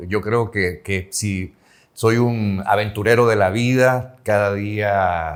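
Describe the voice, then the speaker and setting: Pitch varies in an ordinary way in a very clean recording with a silent background. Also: man. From El Salvador. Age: 60s. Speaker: journalist and former news anchor. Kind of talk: interview.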